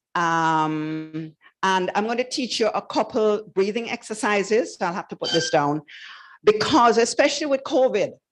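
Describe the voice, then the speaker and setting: A fairly high-pitched woman's voice at a moderate pace, with very wide pitch swings over a quiet background. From Jamaica. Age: 70s. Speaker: wellness instructor. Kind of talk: guided breathing exercise.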